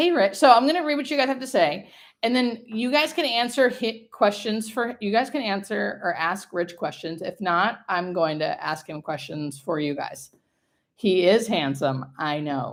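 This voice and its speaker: The voice is loud and animated, moving at a moderate pace. Its pitch swings very widely. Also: woman, fairly high pitch for a woman. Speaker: hospice nurse, livestream host. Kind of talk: live stream casual chat. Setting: livestream from home.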